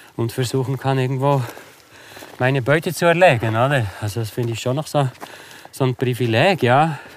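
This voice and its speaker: Over noticeable background noise, a man with a medium pitch speaks at a moderate pace and takes long, frequent pauses. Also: ordinary pitch variation. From Switzerland, Bernese Oberland (Interlaken). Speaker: adventurer and hunter. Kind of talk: casual interview. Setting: outdoors on a winter walk. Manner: halting, many fillers.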